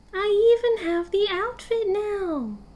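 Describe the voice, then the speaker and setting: A woman puts on a squeaky character voice. She speaks at a fairly slow pace. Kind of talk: ASMR audio roleplay. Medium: solo performance. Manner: soft, intimate, clingy.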